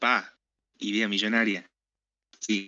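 Speaking at a very slow pace, a man uses a fairly low pitch and fairly even intonation. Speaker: podcast co-host. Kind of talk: casual chat.

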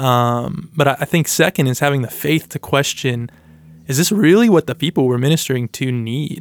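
A man with a normal speaking voice talks at a moderate pace, his pitch fairly high with ordinary variation. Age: 20s. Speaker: campus minister. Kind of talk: casual chat.

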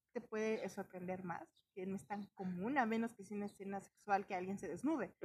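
With a Mexican accent, a woman speaks in a somewhat breathy, medium-pitched voice with ordinary pitch variation. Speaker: podcast co-host. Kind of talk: casual chat.

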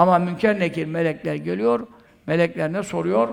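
A man with a high pitch talks at a fairly slow pace, his intonation lively. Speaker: Sufi preacher. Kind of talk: sermon.

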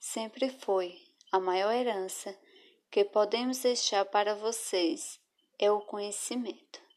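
Against a quiet background, a woman with a medium pitch speaks at a very slow pace with fairly even intonation. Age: 20s. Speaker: schoolteacher. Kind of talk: scripted narration.

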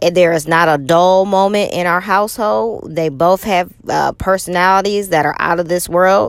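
With a normal speaking voice, a woman talks at a moderate pace and a fairly low pitch, using ordinary pitch variation and hardly any pauses. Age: 40s. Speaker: podcast host and motivational speaker. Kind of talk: personal monologue.

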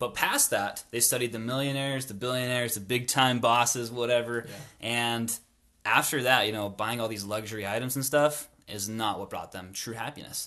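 A man with an American accent speaks at a moderate pace and medium pitch, his bright, sharp tone carrying fairly even intonation and big swings in loudness. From northern Utah. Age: 20s. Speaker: guest on personal finance. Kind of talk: casual chat.

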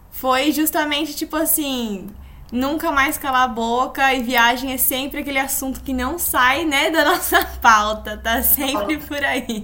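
Over noticeable background noise, a woman with a high pitch uses a raised, projected voice at a fairly slow pace, with ordinary pitch variation. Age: 20s. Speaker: podcast co-host, yoga instructor. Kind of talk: casual chat, storytelling.

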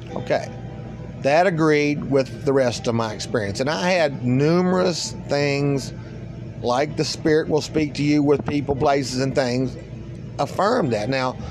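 With music in the background, a man speaks fairly slowly at a fairly high pitch, his loudness very even and his pitch variation ordinary. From eastern US. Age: 50s. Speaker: spiritual podcaster. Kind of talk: solo spiritual monologue.

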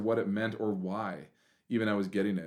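A man's medium-pitched voice with a Western Canadian accent. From Canada, Prince George, British Columbia. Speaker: event planner and camp director. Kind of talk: casual interview chat.

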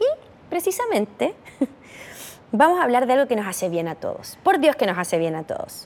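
A woman speaks at a high pitch and a fairly quick pace, her tone animated and her pitch swinging very widely. Long, frequent pauses break up her speech over noticeable background noise. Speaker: podcast host. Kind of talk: casual chat.

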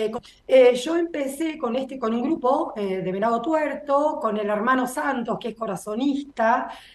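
A woman's high-pitched voice at a fairly slow pace, with hardly any pauses, ordinary pitch variation and noticeable background noise. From Buenos Aires, Argentina. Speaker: agronomist and soybean breeder. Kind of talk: interview.

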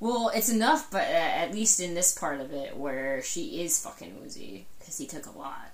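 A woman at a moderate pace with hardly any pauses, big swings in loudness, audible room echo and noticeable background noise. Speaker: book podcast co-host. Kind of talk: casual chat. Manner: animated.

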